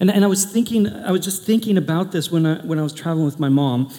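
The speaker has an American accent and talks at a very fast pace. Pitch variation is ordinary. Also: man. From US Pacific Northwest, Portland. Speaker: pastor. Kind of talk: sermon. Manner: animated.

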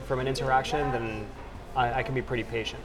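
Noticeable noise plays behind a man whose voice sits at a medium pitch. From Dominican Republic. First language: Spanish. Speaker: startup executive. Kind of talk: interview. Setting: conference.

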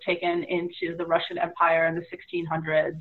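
This woman has a fairly low pitch and a normal speaking voice. She talks at a moderate pace. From US, San Francisco Bay Area. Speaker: tarot reader and spiritual practitioner. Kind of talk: interview. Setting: video call from home office.

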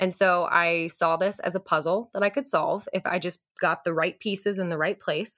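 A woman talks in a normal speaking voice at a moderate pace, with ordinary pitch variation and hardly any pauses. The sound is dry and close, with no echo. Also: medium pitch for a woman. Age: 20s. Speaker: infertility patient. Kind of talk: interview.

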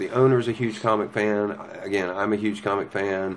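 Over noticeable background noise, a man with an American accent talks at a fairly quick pace in a fairly low pitch. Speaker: comic shop manager. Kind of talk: casual interview. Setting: in a shop. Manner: animated.

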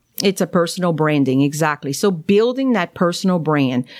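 Very clean recording with a silent background, a woman's fairly low voice, lively intonation, and a strong Cajun accent. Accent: thick Cajun. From Louisiana, Cajun. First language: French. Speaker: naturopathic doctor. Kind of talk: interview.

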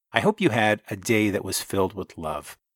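The man has an unremarkable speaking voice, talking at a moderate pace with lively intonation. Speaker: podcast host. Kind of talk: interview, casual conversation.

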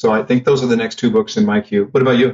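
This man has an unremarkable speaking voice at a medium pitch. His intonation is lively. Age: 50s. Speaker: sales trainer. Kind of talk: casual chat.

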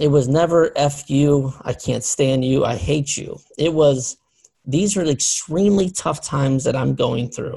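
Somewhat breathy and fairly slow, a man speaks at a fairly high pitch in a dark, mellow tone with ordinary pitch variation. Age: 40s. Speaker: podcast host. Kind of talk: casual chat. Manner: halting.

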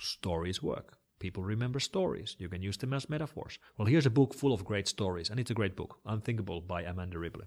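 Speaking in a Finnish accent with lively intonation, the voice moves at a very fast pace with hardly any pauses. The recording is very clean, with a silent background. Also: man. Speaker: internet security expert. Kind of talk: interview.

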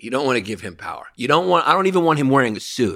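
A man with a New York accent. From New York, Greek-American family. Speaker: comedian. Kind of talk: casual chat. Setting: in-person studio. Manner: loud; animated.

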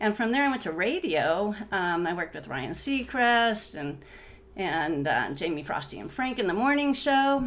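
Pitch swings very widely at a moderate pace, with audible echo in the room. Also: woman, fairly high pitch for a woman. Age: 50s. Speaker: entrepreneur and real estate agent. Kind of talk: casual interview. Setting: in the host's home.

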